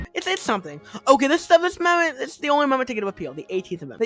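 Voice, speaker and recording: The speech comes at a very fast pace with music in the background. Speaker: gaming video creator. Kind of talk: casual comedic explainer voiceover. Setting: poor quality home mic, audio cuts out. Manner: fast in parts.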